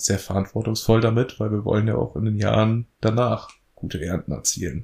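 A man speaks at a moderate pace in a fairly low pitch, with a dark, mellow tone and ordinary pitch variation. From northern Germany, Lower Saxony (Elbmarsch near Lüneburg). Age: 20s. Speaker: farmer. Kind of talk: interview.

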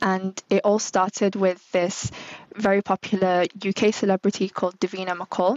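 With a Manchester accent, a woman at medium pitch speaks at a moderate pace in monotone, flat intonation and very even loudness. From northern England. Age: 30s. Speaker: brand manager. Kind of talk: interview.

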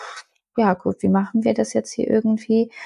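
A somewhat breathy woman's voice at a fairly quick pace. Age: 30s. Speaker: mother sharing birth story. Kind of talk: interview, personal testimony.

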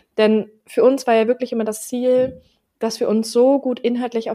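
A woman speaks with a fairly high pitch and a dark, mellow tone. Her intonation stays fairly even. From Berlin, Germany. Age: 20s. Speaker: podcast co-host. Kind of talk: casual chat.

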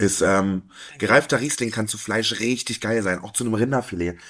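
A man speaks at a medium pitch with ordinary pitch variation in a normal speaking voice. The recording is very clean, with a silent background. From Harz, Saxony-Anhalt. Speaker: sommelier. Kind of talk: casual chat.

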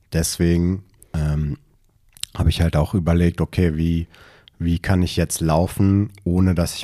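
At a fairly slow pace, a man speaks in a very deep, low pitch with a dark, mellow tone and monotone, flat intonation. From Berlin. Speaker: runner, running community member. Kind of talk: casual chat.

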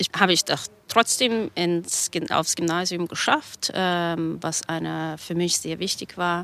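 A woman with a Russian accent speaks at a very slow pace in a bright, sharp tone with fairly even intonation. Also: fairly low pitch for a woman. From Kazakhstan. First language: Russian (speaking German). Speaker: graphic novel author. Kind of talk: interview.

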